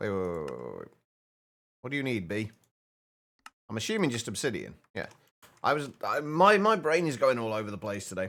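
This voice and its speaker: A British-accented man of medium pitch moves quickly with very wide pitch swings, stopping for long, frequent pauses. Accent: stereotypical British. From Britain. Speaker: gaming streamer. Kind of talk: live game stream chat. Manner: halting, repeats words.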